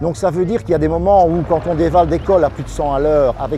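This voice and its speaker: A man's voice, with ordinary variation in pitch, comes through noticeable background noise. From Belgium (Wallonia). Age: 60s. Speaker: press motorcycle rider, former cyclist. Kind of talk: interview.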